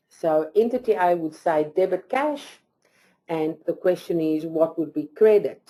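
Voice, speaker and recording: A woman with a non-native accent speaks in a fairly low pitch. Her tone is dark and mellow. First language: not English. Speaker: accounting presenter. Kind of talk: lecture. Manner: halting.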